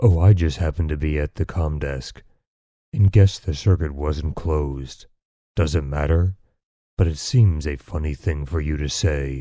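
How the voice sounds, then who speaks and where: Using a put-on character voice, a soft-spoken man talks at a moderate pace with a very deep, low pitch. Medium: read story. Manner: dreary monotone, complaining.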